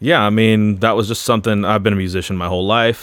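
With an American accent, a man speaks in an ordinary speaking voice, fairly low in pitch and with fairly even intonation. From Florida. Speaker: personal trainer and gym owner, former worship leader. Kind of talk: casual interview chat.

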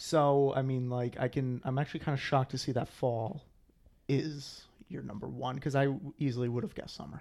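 An ordinary speaking voice from a man with an American accent, at a fairly quick pace with fairly even intonation. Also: medium pitch for a man. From Rhode Island, US. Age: 20s. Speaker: podcast co-host. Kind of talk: casual chat.

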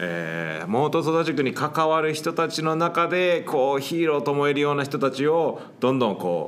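A man with an English accent, fairly high in pitch, at a moderate pace with hardly any pauses. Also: ordinary pitch variation. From Hawaii. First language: English (speaking Japanese). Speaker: English teacher and podcast host. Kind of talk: casual interview chat. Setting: sharing one microphone in a studio.

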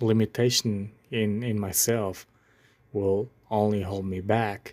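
Recorded very cleanly against a silent background, a man speaks with a non-native accent in a fairly low pitch and a monotone, flat intonation. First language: not English. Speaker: podcast host. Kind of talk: solo podcast monologue. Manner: halting, hesitant with filler words.

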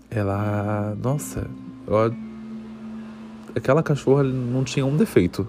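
Noticeable background noise runs under a man speaking at a fairly slow pace. He uses ordinary pitch variation and leaves long, frequent pauses. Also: medium pitch for a man. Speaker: student podcast host. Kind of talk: personal storytelling.

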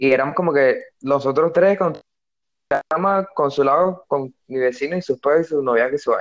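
This man has a Venezuelan accent and a fairly high pitch, with ordinary pitch variation. He speaks at a moderate pace, and the sound is dry and close with no echo. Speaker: podcast co-host. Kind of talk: casual chat. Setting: online call.

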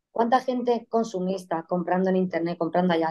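A woman with a normal speaking voice talks fairly quickly, her pitch varying in an ordinary way. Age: 30s. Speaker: guest sharing life story of living with degenerative disease. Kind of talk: interview testimony.

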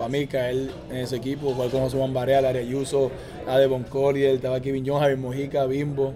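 A man talks at a moderate pace in a fairly high pitch. Music plays in the background and audible room echo is present. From Puerto Rico (Aguada, Caguas). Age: 20s. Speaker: professional basketball player. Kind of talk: interview.

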